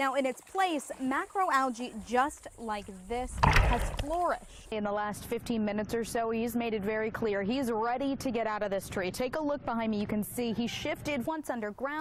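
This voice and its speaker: Lively intonation marks a woman's fairly high-pitched voice over noticeable background noise. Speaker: television news reporter. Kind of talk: broadcast news reporter standalone.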